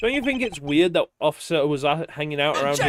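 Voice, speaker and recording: Music plays behind a man speaking at a very fast pace. His tone is angry and his intonation lively. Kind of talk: casual, swearing. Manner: angry, defensive.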